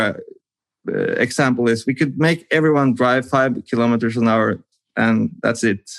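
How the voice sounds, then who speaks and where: With ordinary pitch variation, a man speaks at a medium pitch and a moderate pace. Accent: Norwegian. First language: Norwegian. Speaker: podcast host. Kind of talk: casual interview chat. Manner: halting, searching for words.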